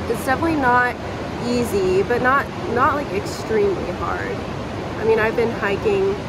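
A woman talks at a moderate pace with ordinary pitch variation. Loud background noise surrounds her, though the sound is dry with no echo. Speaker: travel vlogger. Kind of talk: casual vlog chat. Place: tunnel cave. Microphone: phone near.

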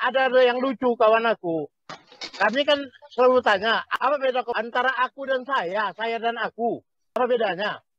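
The voice moves at a fairly quick pace with ordinary pitch variation, in a dry sound with no echo. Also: man, extremely high pitch for a man. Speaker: panelist. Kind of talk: panel discussion. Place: home room. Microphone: video call.

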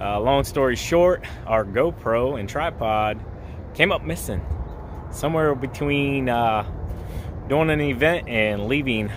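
A man is speaking, the sound dry with no echo. Noticeable background noise runs underneath. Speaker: lawn care vlogger. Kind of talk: casual vlog chat. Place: street. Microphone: phone near.

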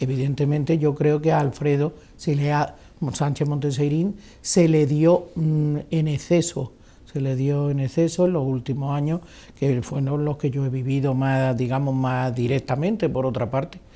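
Intonation stays fairly even at a fairly slow pace. A dark, mellow tone marks the voice. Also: woman, very deep, low pitch for a woman. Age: 60s. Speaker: retired politician. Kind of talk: interview. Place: hall.

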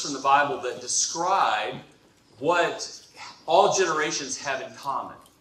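A man speaks with a bright, sharp tone. Strong echo fills the room around him.

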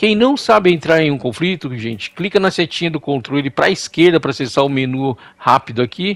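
A man's fairly high voice with lively intonation, a fairly quick pace, and a dry, close sound with no echo. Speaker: gaming YouTuber. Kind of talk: game tutorial. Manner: animated.

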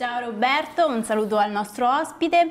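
Her high voice carries lively intonation as the woman speaks. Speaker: studio co-host. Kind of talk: reading aloud. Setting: studio. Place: studio. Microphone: lapel.

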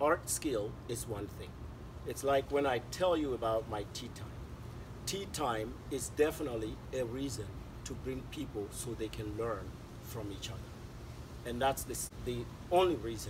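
A man is heard with long, frequent pauses. Noticeable background noise runs underneath. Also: moderate pace. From Mali. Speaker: artist, author, illustrator, storyteller; storyteller. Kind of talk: interview answer. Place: garden.

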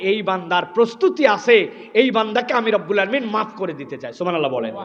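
A man talks with a high pitch and an animated tone. His pitch swings very widely over noticeable background noise. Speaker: Islamic preacher. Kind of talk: sermon. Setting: religious gathering with audience.

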